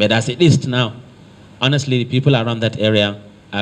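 With a Nigerian accent, a man talks with ordinary pitch variation. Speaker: state works commissioner, visiting official. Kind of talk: formal official meeting address. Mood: earnest, measured appeal. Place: meeting room. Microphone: handheld.

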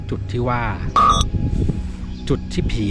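Loud music plays in the background. Over it, a man speaks with a dry sound that has no echo. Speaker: ghost story narrator. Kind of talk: casual ghost story told to camera on location. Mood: dramatic, emotive delivery. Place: open country. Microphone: phone near.

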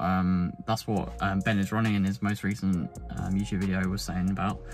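A man at a fairly quick pace over faint music in the background. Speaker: running vlogger. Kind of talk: casual vlog chat. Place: car. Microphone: phone near.

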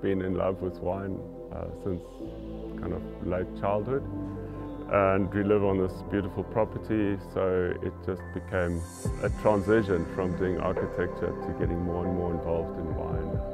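A man speaks at a moderate pace with clear music in the background. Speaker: winemaker and former architect. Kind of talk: interview answer. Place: farm machine.

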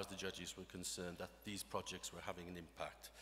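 A man speaks in a bright, sharp tone. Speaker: organisation executive; speaker. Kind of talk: awards presentation. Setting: stage with audience. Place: hall. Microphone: podium.

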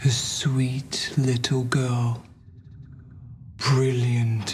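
In a put-on character voice of medium pitch, a man speaks at a very slow pace. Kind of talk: poetic, solemn drama speech. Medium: short film. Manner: calm, cryptic, gently philosophical.

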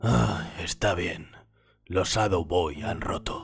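A man does a cartoonish character voice, raspy and very deep, speaking at a very slow pace. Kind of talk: fan dub of cartoon. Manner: gloomy, sullen.

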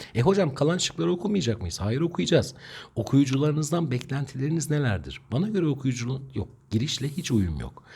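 Fairly high-pitched with a dark, mellow tone and vocal fry, a man speaks at a fairly quick pace with lively intonation. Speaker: Turkish language teacher. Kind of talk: tutorial. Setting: online video lesson.

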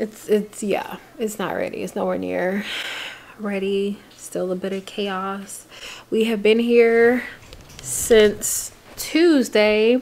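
Speaking at a very slow pace, a woman leaves long, frequent pauses and uses ordinary pitch variation. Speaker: vlogger. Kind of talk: casual vlog chat. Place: home room. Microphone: phone near.

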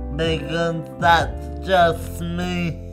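A man speaks at a very slow pace over clear music in the background. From London. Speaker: spoken word poet. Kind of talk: spoken word poetry. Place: home room. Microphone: lapel.

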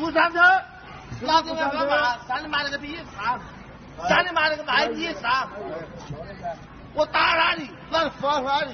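The speaker has a Wuhan accent and talks at a fairly slow pace with long, frequent pauses. Pitch variation is ordinary, and there is noticeable background noise. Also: man, extremely high pitch for a man. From Wuhan, China. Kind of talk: street argument with police. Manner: aggressive, cursing, shouting.

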